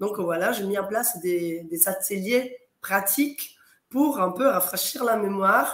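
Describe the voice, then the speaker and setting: A woman talks at a medium pitch. Her pitch variation is ordinary. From Italy. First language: Italian (speaking French). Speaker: quality consultant and auditor for training organisations. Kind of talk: interview on live talk show.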